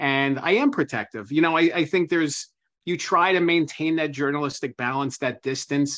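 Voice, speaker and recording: Against a quiet background, a man with an American accent speaks at a moderate pace. His fairly high pitch shows ordinary variation in an unremarkable speaking voice. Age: 30s. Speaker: author and biographer. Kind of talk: interview.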